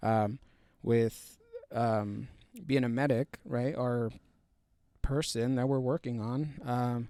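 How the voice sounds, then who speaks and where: A man's medium-pitched voice with a dark, mellow tone, fairly even intonation, a very slow pace and long, frequent pauses. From US, Mexican-American family. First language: Spanish. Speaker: army combat medic. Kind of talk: podcast interview. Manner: halting, many fillers and restarts.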